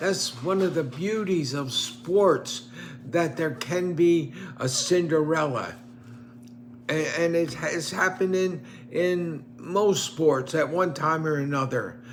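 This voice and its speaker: Very slowly, a man speaks in a fairly high pitch with ordinary pitch variation, amid noticeable background noise and audible room echo. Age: 90s. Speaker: retired professor and online commentator. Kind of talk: casual monologue commenting on newspaper. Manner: halting.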